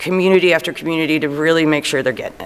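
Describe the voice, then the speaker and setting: The speaker has a Chicago accent. The pace is very fast. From Chicago, Illinois. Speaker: zoning consultant. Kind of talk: public meeting presentation. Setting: city council meeting.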